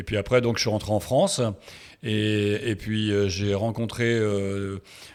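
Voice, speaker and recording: A man talks at a very slow pace in a fairly low pitch, his intonation monotone and flat. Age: 60s. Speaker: sports photographer. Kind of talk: interview. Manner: halting, many hesitations.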